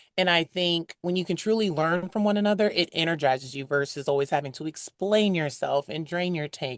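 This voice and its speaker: A woman with an American accent speaks at a moderate pace in an unremarkable speaking voice, fairly low in pitch with ordinary variation, recorded with a dry, close, echo-free sound against a quiet background. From United States. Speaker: brand executive at a dating app. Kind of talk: interview conversation.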